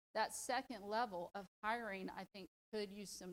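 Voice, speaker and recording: A woman in a Southern US accent talks at a moderate pace and medium pitch, with a dry, close sound and no echo. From US South. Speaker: leadership program participant, public defender. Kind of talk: presentation. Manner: animated.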